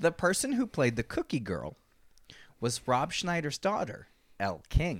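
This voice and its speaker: A man's fairly high voice with vocal fry, very wide pitch swings, a fairly slow pace and long, frequent pauses, in a dry, close sound with no echo. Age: 30s. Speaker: podcast co-host. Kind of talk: casual chat. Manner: animated.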